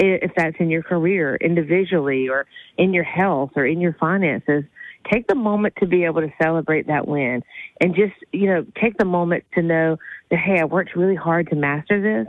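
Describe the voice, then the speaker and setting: This woman has a normal speaking voice, fairly low in pitch, with very even loudness, ordinary pitch variation and a moderate pace. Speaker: therapist. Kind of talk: advice segment, casual chat.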